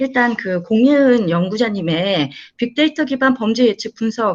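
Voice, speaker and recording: Her high pitch making very wide swings, a woman speaks at a fairly slow pace. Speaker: professor. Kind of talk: panel discussion. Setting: video call. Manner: hesitant, filler words. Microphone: microphone keeps cutting out.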